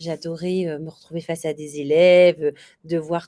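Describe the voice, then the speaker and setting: With a dry, close sound and no echo, a woman talks at a moderate pace and a fairly low pitch. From Réunion. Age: 40s. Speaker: bridal shop owner, former teacher. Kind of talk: interview. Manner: hesitant, many fillers.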